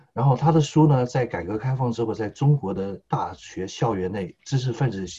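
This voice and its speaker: Somewhat breathy and dark, a man's mellow voice moves at a fairly quick pace with ordinary pitch variation. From Taiwan, Taipei. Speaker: political commentator. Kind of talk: political discussion.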